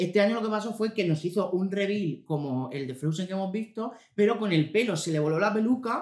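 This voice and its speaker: A man with a Murcian accent speaks at a high pitch in an animated tone. He talks at a fairly quick pace with hardly any pauses. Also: ordinary pitch variation. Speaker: podcast co-host. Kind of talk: casual chat.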